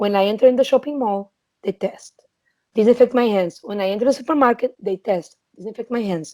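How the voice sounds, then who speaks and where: A woman speaks with a Portuguese accent and a dark, mellow tone. Her pitch is fairly high, her pace moderate, and her pitch varies in an ordinary way. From Portugal. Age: 20s. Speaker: trade commissioner. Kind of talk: interview.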